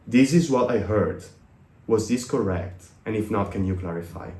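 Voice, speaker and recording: Audible room echo surrounds a man with an Italian accent whose somewhat breathy, fairly low voice moves at a moderate pace with ordinary pitch variation. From Italy. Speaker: business consultant. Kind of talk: podcast interview.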